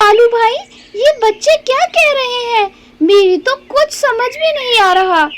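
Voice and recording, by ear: A woman's cartoonish character voice at an extremely high pitch and a moderate pace.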